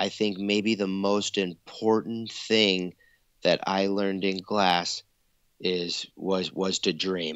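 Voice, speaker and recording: A man with an American accent speaks at a very slow pace. His pitch is fairly low and his intonation monotone and flat. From US Pacific Northwest, Eugene, Oregon. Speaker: glass artist. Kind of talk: casual chat.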